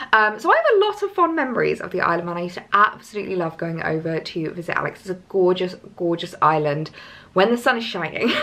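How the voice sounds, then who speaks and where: Amid noticeable background noise, a woman at medium pitch talks very fast with ordinary pitch variation and big swings in loudness. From southern England, Hampshire. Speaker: lifestyle vlogger. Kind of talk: casual vlog chat.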